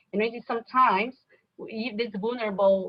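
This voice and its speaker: A woman speaks with a Brazilian Portuguese accent at a moderate pace. Her intonation stays fairly even. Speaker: nonprofit executive director. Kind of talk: conference talk with Q&A. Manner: halting.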